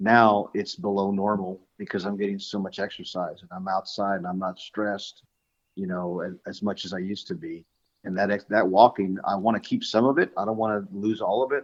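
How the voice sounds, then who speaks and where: The intonation stays fairly even while the loudness swings widely. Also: man, fairly low pitch for a man. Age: 60s. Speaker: lawn care business owner. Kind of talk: casual interview chat. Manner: halting, many fillers and repeats.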